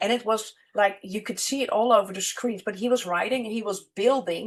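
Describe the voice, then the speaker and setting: The speaker is a woman. She talks with a Dutch accent. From Netherlands, Amsterdam. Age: 50s. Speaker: money and business mentor. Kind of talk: casual interview chat.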